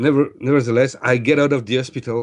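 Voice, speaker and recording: In a French accent, a man speaks with medium pitch. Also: quiet background. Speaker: energy healer. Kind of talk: interview testimony. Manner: hesitant, many fillers.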